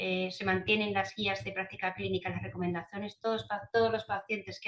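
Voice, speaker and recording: The woman's pitch sits in the medium range. Her speech is very fast. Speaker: cardiology nurse speaker. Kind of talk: webinar presentation.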